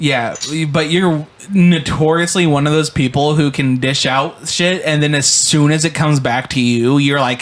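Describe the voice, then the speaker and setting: A man's fairly high voice at a moderate pace, very even in loudness, with noticeable background noise. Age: 20s. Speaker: podcast host and producer. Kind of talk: casual chat. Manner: animated.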